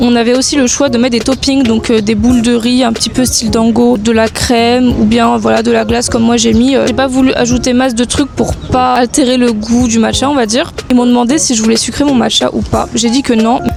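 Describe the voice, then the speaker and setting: Against noticeable background noise and audible room echo, a woman with a high voice talks at a fairly quick pace with hardly any pauses, her loudness very even and her intonation monotone and flat. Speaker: food vlogger. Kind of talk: casual vlog food review. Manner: fast.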